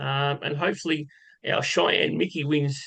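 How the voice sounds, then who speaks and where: The voice belongs to a man. He talks with an Australian accent. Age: 60s. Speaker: horse racing tipster. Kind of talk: casual live stream chat. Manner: casual, conversational.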